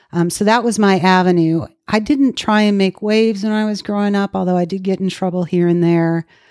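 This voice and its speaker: In an ordinary speaking voice, a woman with an American accent talks at a medium pitch and a fairly quick pace, with hardly any pauses and fairly even intonation, on a very clean recording with a silent background. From Minnesota, US Midwest. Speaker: recovering alcoholic sharing her story. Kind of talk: testimony.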